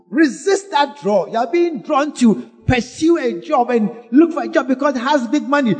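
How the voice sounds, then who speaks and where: Over music in the background, the speaker talks at a moderate pace with lively intonation and hardly any pauses. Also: man, extremely high pitch for a man. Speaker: pastor. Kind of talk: sermon. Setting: church.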